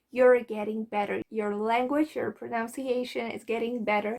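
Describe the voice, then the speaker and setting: A woman speaks with a Polish accent. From Poland. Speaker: language learning vlogger. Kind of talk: advice vlog. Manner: casual, conversational.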